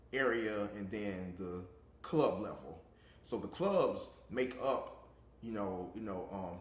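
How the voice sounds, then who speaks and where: Over noticeable background noise and audible room echo, the speech moves at a very slow pace with ordinary pitch variation. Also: man, fairly low pitch for a man. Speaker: interviewee, public speaking club member. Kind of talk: interview. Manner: halting, many repetitions.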